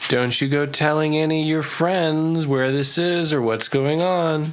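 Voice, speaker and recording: A shrill, put-on character voice at middle pitch moves at a moderate pace over clear background noise. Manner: shrieking.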